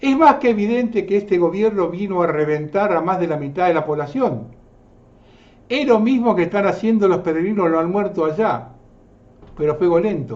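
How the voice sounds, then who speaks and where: A man talks at a moderate pace in a high pitch, his intonation lively. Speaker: political commentary show host. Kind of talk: scripted commentary narration.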